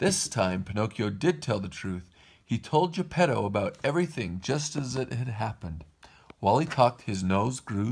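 The speaker reads aloud. The reading is plain.

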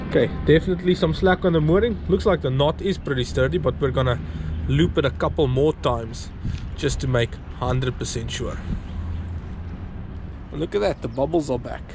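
A man talks at a fairly quick pace with very wide pitch swings. The sound is dry with no echo, though noticeable background noise comes through. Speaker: sailing vlogger. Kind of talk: casual vlog chat. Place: boat. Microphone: phone near.

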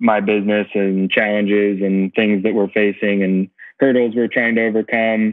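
A man speaks in a monotone, flat intonation against a quiet background. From United States. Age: 40s. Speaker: racing driver and team owner; podcast guest. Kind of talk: casual interview. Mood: friendly, relaxed. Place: home room. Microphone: earbuds.

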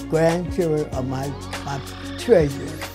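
With clear music in the background, a woman speaks in an American accent. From Overtown, Miami, Florida. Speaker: longtime resident and homeowner. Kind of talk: interview answer. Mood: warm, grateful, proud. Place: home room.

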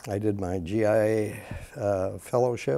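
With an American accent, a man speaks in a dark, mellow tone at a fairly low pitch. His intonation is fairly even. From US Midwest, Wisconsin. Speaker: gastroenterologist; interviewee. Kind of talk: interview. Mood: calm, reflective storytelling. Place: studio. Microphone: lapel.

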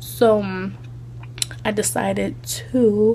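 A woman speaks over noticeable background noise. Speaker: vlogger. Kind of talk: casual vlog talk to camera. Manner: chatty, rambling with many fillers.

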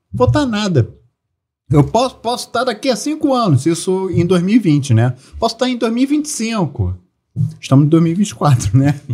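With a dark, mellow tone, a man speaks fairly slowly in a high pitch that swings very widely. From Brazil. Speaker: celebrity lookalike actor and comedian; celebrity lookalike actor, comedian. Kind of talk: casual chat. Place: studio. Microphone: studio mic.

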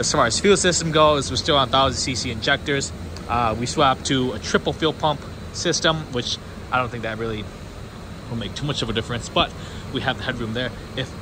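Over noticeable background noise, a man talks at a medium pitch and a fairly quick pace. He leaves long, frequent pauses. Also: ordinary pitch variation. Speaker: car YouTuber. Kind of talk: casual vlog. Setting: dyno room.

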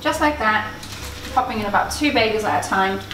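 A woman talks at a fairly quick pace, with faint music in the background. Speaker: channel host. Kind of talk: cooking tutorial. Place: kitchen. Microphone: camera far.

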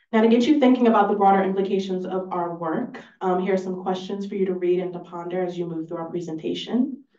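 Fast speech with a dark, mellow tone and fairly even intonation. Room echo can be heard. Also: woman, fairly low pitch for a woman.

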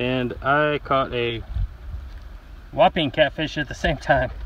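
Slowly and with fairly even intonation, a man speaks at a medium pitch in a fairly bright tone.

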